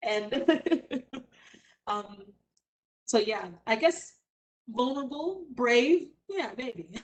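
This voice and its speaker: The intonation is lively. Long pauses come often. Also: woman. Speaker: stage actor. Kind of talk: panel discussion.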